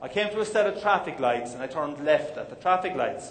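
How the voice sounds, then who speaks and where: With an Irish accent, a man talks fairly quickly in a high pitch, his voice swinging very widely up and down. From Ireland. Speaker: motivational speaker. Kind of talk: keynote speech. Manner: humorous.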